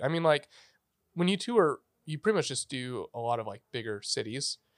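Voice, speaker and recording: A man with an American accent speaks at a moderate pace, his fairly high pitch swinging very widely. The recording is very clean, with a silent background and a dry, close sound with no echo. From Northern California, Redding. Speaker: barista and audio engineer. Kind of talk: casual chat. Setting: studio.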